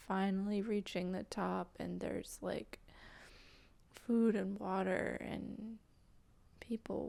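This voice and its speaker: Soft-spoken and whispering, the voice moves at a very slow pace. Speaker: spiritual channeler. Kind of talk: guided meditation. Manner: whispery.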